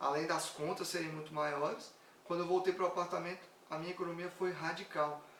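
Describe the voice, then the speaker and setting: A man speaks in a high-pitched voice with fairly even intonation. Audible room echo and noticeable background noise are present. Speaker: personal finance content creator. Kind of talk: live stream talk. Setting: live stream.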